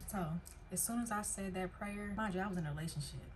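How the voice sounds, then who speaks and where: Audible room echo surrounds a woman speaking at a very fast pace. Her pitch is medium, with ordinary variation. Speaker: vlogger sharing personal story. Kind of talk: casual personal vlog talk. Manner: animated.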